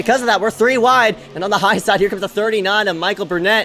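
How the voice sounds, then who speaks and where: A man's raised, projected voice, high in pitch and bright and sharp in tone, at a very fast pace with ordinary pitch variation. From Philippines. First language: not English. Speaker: sim racing commentator. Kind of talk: live commentary. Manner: animated.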